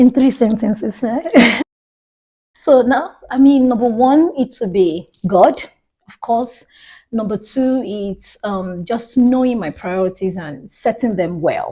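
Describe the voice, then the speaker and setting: A woman with a Nigerian accent, a fairly high pitch, a dark, mellow tone, lively intonation, big swings in loudness and a very slow pace. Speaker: minister and recruiter. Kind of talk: casual interview.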